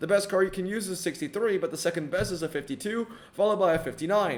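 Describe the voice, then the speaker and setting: A man with a high pitch at a very fast pace, with noticeable background noise. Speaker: mobile game content creator. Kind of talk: casual game commentary video. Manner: casual, filler-heavy.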